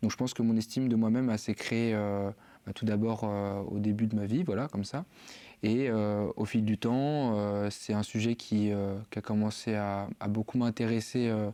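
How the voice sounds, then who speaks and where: In a very clean recording with a silent background, a man with a dark, mellow tone talks at a moderate pace and fairly even intonation. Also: fairly low pitch for a man. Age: 20s. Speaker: university student. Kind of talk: podcast interview. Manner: halting, many fillers.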